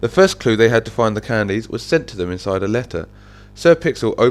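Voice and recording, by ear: The intonation rises and falls in a lively way. The speaker is reading aloud in a natural voice.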